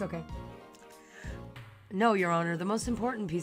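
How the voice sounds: A raspy, put-on character voice at middle pitch runs at a fairly quick pace over clear music in the background.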